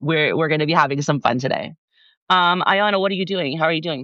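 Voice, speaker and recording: A woman's very deep, low voice with a bright, sharp tone, ordinary pitch variation and a fairly quick pace, over a quiet background. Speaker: podcast co-host and live streamer. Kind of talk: casual live stream chat. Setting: live video stream.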